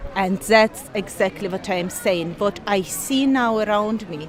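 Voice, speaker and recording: A woman with a non-native accent talks at a moderate pace in a fairly high pitch, with noticeable background noise behind her. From Ukraine. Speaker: university lecturer. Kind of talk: interview.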